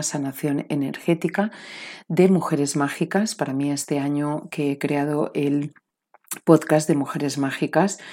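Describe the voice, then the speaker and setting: A woman with a dark, mellow tone at a moderate pace, with ordinary pitch variation, on a very clean recording with a silent background. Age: 40s. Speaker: podcast host and spiritual coach. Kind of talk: motivational talk and course promotion.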